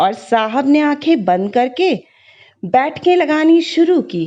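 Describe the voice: Slowly, a woman speaks with big pitch swings and a dark, mellow tone.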